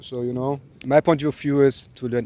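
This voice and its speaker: A German accent comes through in a dark, mellow tone. The intonation is fairly even and the pace moderate. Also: man. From southern Germany, Bavaria near Austrian border. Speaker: interviewee, traveler. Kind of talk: casual interview. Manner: halting, many fillers.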